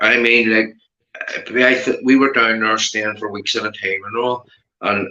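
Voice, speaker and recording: A man's medium-pitched voice in a Belfast accent, bright and sharp in tone, with monotone, flat intonation at a moderate pace. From Northern Ireland, Belfast. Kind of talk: casual chat.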